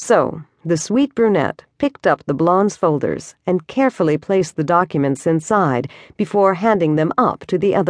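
The clip is plain reading aloud. Nothing much sounds behind it.

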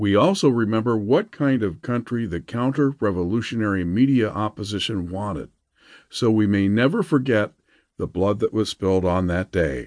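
A man talks at a moderate pace in a plain, everyday voice, fairly low in pitch. His intonation is lively, and the background is quiet. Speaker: audiobook narrator. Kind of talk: audiobook narration of a rousing political proclamation. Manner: declamatory, building rally-style fervor; solemn, commemorative cadence.

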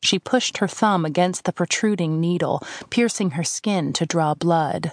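Against a quiet background, a woman talks at a fairly slow pace and medium pitch in a normal speaking voice, with ordinary pitch variation. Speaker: audiobook narrator. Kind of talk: dramatic audiobook narration of fantasy fiction, hushed and atmospheric. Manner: measured, storytelling pace with rich, suspenseful, wistful expression.

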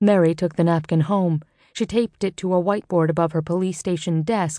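Her tone is dramatic, and she talks at a very fast pace. The woman's pitch is fairly low, with ordinary pitch variation. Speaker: audiobook narrator. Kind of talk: audiobook narration of a mystery novel, with character dialogue. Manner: dramatic, expressive, measured storytelling pace.

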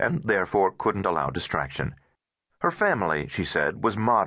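The background stays quiet. What you hear is a natural reading voice.

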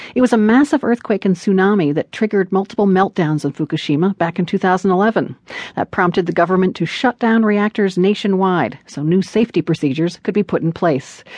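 A woman talks at a fairly quick pace with hardly any pauses, in an unremarkable speaking voice of medium pitch. The sound is dry and close with no echo, over a quiet background. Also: ordinary pitch variation. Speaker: radio news host. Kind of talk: radio news reading, scripted headlines and intro. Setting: studio. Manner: crisp, formal, measured broadcast delivery.

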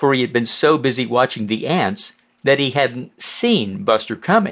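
Against a quiet background, a man with an ordinary speaking voice talks at a moderate pace and medium pitch, his intonation lively. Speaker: audiobook narrator. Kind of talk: bedtime story narration, reading a children's tale aloud. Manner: gentle, warm storyteller pace with expressive character voices.

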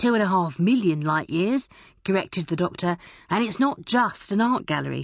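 The reading aloud is plain. Its intonation moves in a lively way.

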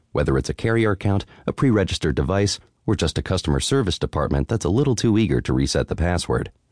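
With vocal fry and very wide pitch swings, a man speaks very fast in a dry, close sound with no echo. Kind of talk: audiobook narration of a tech article, read aloud. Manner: steady, clear, measured reading; formal, even, informative.

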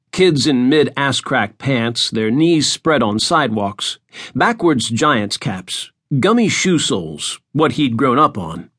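Against a quiet background, a man speaks fairly slowly with a fairly high pitch, very wide pitch swings, vocal fry and a bright, sharp tone. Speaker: audiobook narrator. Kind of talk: dramatic audiobook narration, fiction read aloud. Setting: studio.

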